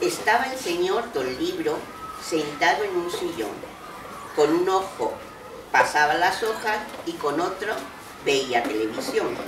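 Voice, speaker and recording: At medium pitch, a woman talks at a very slow pace with long, frequent pauses and very wide pitch swings. Noticeable background noise runs under her voice. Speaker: grandmother storyteller. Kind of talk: reading poems and stories to young children. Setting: school library.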